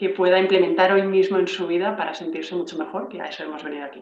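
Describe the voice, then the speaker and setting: A woman talks very fast at a medium pitch. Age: 40s. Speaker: entrepreneur and networking coach. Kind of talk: casual interview. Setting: video call. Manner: fluent.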